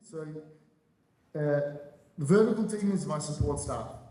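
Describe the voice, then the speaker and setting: Fairly high-pitched male voice with audible room echo. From Australia (Adelaide). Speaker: real estate broker. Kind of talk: panel discussion.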